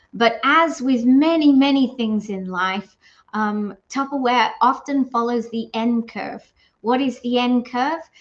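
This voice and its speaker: A woman with a rather high voice and normal pitch movement speaks somewhat slowly. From England. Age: 60s. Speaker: direct sales consultant. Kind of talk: vlog monologue. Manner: casual, hesitant with fillers.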